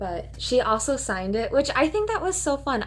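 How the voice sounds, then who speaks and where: A woman speaks at a moderate pace in a Minnesotan accent. Her pitch is high. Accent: Minnesota. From Minnesota, US. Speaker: booktuber. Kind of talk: casual chat. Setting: in her bed at home. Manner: casual, with frequent fillers.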